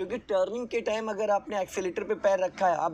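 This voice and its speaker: A man at a moderate pace with ordinary pitch variation, over light background noise. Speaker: driving instructor. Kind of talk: in-car driving instruction. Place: car.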